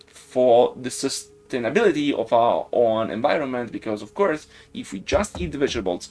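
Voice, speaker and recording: A man speaks with an Italian accent at a moderate pace. His intonation is lively. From Italy, Siena (Tuscany). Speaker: game developer streamer. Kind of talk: live stream chat. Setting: live stream.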